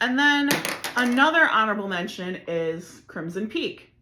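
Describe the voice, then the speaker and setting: A woman speaks at a fairly slow pace with a fairly high pitch and very wide pitch swings. Audible room echo is present. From Chicago area, Illinois. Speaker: podcast host. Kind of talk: casual monologue. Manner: filler-heavy, rambling.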